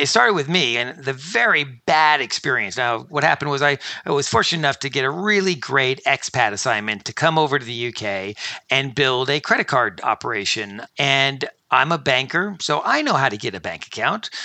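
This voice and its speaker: A man with an American accent, a plain, everyday voice, medium pitch, lively intonation and a fairly quick pace. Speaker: fintech company founder and CEO. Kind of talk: interview.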